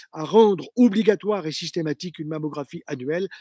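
In a very clean recording with a silent background and a dry, close sound without echo, a man speaks at a high pitch. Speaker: retired cancer surgeon. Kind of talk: health lecture to camera. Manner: formal.

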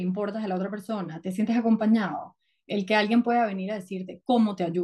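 Moving at a fairly quick pace, a woman with a fairly high pitch, a dark, mellow tone and a somewhat breathy voice holds a fairly even intonation. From Venezuela. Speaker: psychotherapist. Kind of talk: casual interview.

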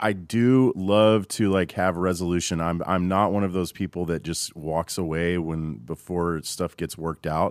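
A man talks at a fairly slow pace in a dry, close sound with no echo. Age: 40s. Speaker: audio engineer and producer. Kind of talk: casual chat. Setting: studio.

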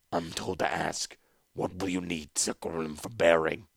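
A man's put-on, robotic character voice, raspy and very deep, in a monotone, flat intonation at a moderate pace. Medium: read story.

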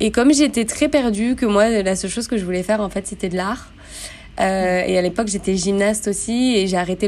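A woman speaks in a normal speaking voice at a fairly quick pace, her medium pitch showing ordinary pitch variation. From France, Grenoble. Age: 30s. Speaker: yoga teacher. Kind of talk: casual interview.

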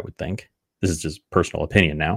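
A man at a fairly quick pace with ordinary pitch variation, in a very clean recording with a silent background. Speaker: podcast host. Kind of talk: solo talk on gender vocabulary, live-streamed. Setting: live stream, video. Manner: fast talker.

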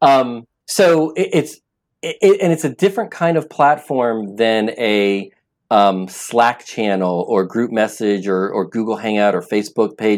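A man's normal speaking voice at a medium pitch, fairly slow in pace with lively intonation, in a very clean recording with a silent background. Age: 50s. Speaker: app founder. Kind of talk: interview.

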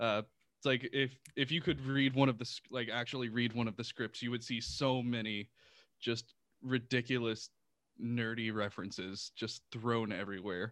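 With an American accent, a man speaks at a moderate pace in a medium pitch with fairly even intonation. He has an unremarkable speaking voice, and the background is quiet. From Texas, Houston. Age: 30s. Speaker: audio drama creator and sound designer. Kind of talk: casual interview chat.

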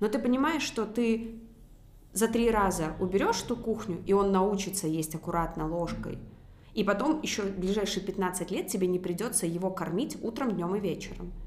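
Amid noticeable background noise and audible room echo, a woman speaks at a moderate pace. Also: medium pitch for a woman, ordinary pitch variation. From Belarus, Minsk. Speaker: business owner, former dentist. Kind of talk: casual interview.

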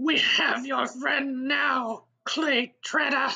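At a very slow pace, the voice holds a high pitch with monotone, flat intonation. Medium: audio drama. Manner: irritated, then menacing.

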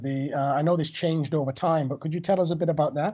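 Speaking very fast, a man uses a high pitch and fairly even intonation. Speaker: podcast host. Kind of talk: interview conversation.

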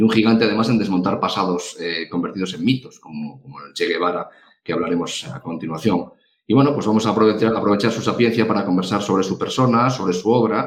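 A man's fairly deep voice races along very quickly, its pitch shifting by ordinary amounts. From Galicia, Spain. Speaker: podcast co-host. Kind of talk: casual interview chat.

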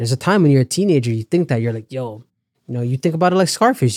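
In a Toronto accent, a man with a fairly high pitch and a dark, mellow tone talks at a very fast pace with lively intonation, the sound dry and close with no echo. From Canada. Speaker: comedian. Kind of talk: casual chat. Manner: animated.

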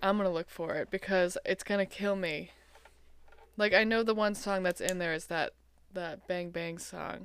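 A woman speaks in a normal speaking voice at a medium pitch, with fairly even intonation at a moderate pace. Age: 20s. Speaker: podcast guest, host's lifelong friend. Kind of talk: casual chat.

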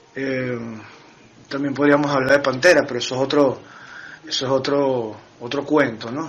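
A man's fairly high pitch in a monotone, flat delivery at a moderate pace, with long, frequent pauses amid noticeable background noise. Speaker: metal band drummer. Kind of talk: interview. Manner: halting.

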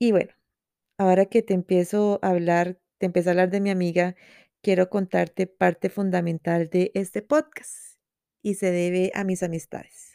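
A woman of medium pitch speaks at a moderate pace with fairly even intonation and a warm yet dark, mellow tone. The very clean recording has a silent background and a dry, close sound with no echo. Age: 20s. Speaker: journalist and podcast host, psychology student. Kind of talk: personal reflective monologue. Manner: warm and intimate.

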